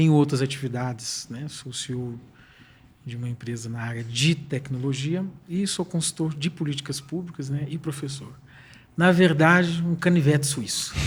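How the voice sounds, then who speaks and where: Somewhat breathy, a man talks at a moderate pace with a fairly high pitch, ordinary pitch variation and big swings in loudness. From Brazil, lived most of life in Portugal. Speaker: technology consultant and professor. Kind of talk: podcast interview.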